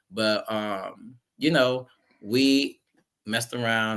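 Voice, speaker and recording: A man's normal speaking voice, fairly low in pitch and fairly even in intonation, on a very clean recording with a silent background. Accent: American. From US South (Jacksonville, Florida). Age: 30s. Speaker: guest speaker on mental health. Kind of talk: personal testimony. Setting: podcast.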